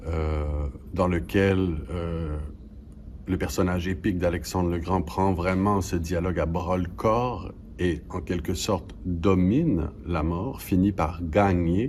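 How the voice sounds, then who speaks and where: A man with a Quebec accent, very deep and low in pitch, somewhat breathy, at a very slow pace with ordinary pitch variation. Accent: Québécois French. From Quebec, Canada. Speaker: stage actor. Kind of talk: interview answer.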